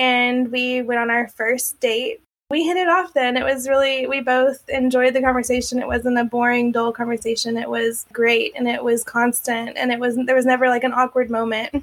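With an Oklahoma accent, the speaker holds a moderate pace in monotone, flat intonation with hardly any pauses. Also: woman, high pitch for a woman. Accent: Oklahoma American. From Oklahoma City, US. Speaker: domestic abuse survivor. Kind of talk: testimony.

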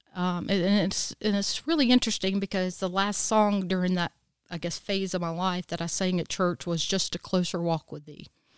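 A woman with a South Carolina accent speaks at a moderate pace in a medium pitch with fairly even intonation, the sound dry and close with no echo. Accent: Southern US (South Carolina). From US South, Easley, South Carolina. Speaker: licensed professional counselor. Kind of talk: testimony.

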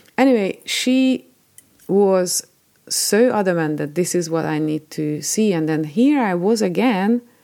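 Her voice is medium-pitched with a dark, mellow tone as this woman, in a Hungarian accent, speaks fairly slowly with lively intonation. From Hungary. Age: 40s. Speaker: podcast host. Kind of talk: personal storytelling monologue.

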